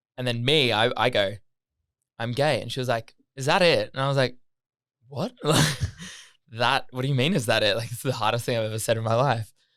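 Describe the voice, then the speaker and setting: With an Australian accent, a man talks at a fairly quick pace and a medium pitch on a very clean recording with a silent background. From Australia, Gold Coast. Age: 20s. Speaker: podcast guest. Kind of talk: casual chat. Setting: studio.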